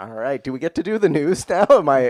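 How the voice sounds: Fairly high in pitch, a man talks at a fairly quick pace. His tone is slightly mellow, and his pitch swings widely.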